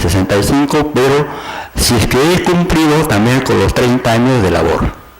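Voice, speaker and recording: With very even loudness, a man speaks over noticeable background noise and audible room echo. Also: medium pitch for a man, lively intonation, moderate pace. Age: 60s. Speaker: university professor, petitioner at court hearing. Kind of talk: oral argument before court. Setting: courtroom hearing. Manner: halting, many fillers and repetitions.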